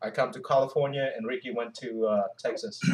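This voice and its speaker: The speaker is a man with a fairly high pitch. He talks at a moderate pace, his pitch swinging very widely. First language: not English. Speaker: Navy veteran, YouTuber. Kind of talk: casual chat. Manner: halting.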